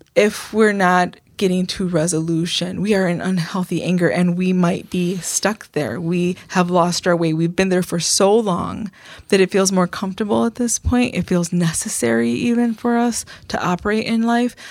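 Here a woman uses an ordinary speaking voice at medium pitch with ordinary pitch variation. She talks at a moderate pace on a very clean recording with a silent background. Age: 50s. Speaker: pastor and program author. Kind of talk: casual chat.

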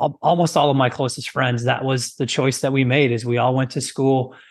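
Speaking in a medium pitch with monotone, flat intonation, a man has a US Midwestern accent. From rural US Midwest. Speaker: fitness trainer and former physical therapist. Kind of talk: interview.

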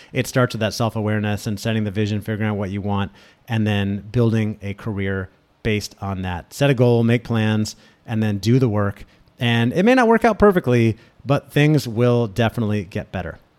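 This man has a plain, everyday voice, fairly low in pitch. He speaks at a fairly quick pace with fairly even intonation. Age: 40s. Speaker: podcast host and career coach. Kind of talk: solo podcast monologue. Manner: casual, with many fillers.

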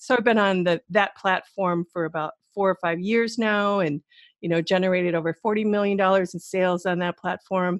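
With an American accent, a woman talks fairly quickly in a normal speaking voice, keeping a medium pitch and fairly even intonation in a dry, close recording with no echo. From Wisconsin, US Midwest. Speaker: entrepreneur and former model. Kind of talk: interview.

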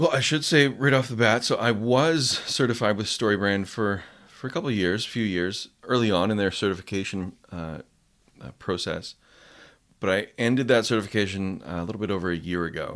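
A man with a Canadian accent, fairly low in pitch, fairly quick in pace, with lively intonation, in a very clean recording with a silent background. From west coast of Canada. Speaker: copywriting coach. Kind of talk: casual interview. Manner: conversational, hesitant with fillers.

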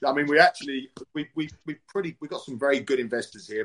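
A man with a British accent at a fairly high pitch, ordinary pitch variation and a very fast pace, in a dry, close sound with no echo. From UK. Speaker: fight promotion CEO and former fighter. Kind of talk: interview.

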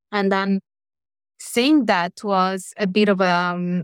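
A woman talks very slowly in an Italian accent. The sound is dry and close with no echo, on a very clean recording with a silent background. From Italy. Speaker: academic. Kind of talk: interview.

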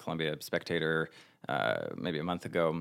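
On a very clean recording with a silent background, a man with an American accent speaks at a moderate pace in a very deep, low pitch with vocal fry. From northern New Jersey. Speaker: theater director. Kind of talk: casual chat.

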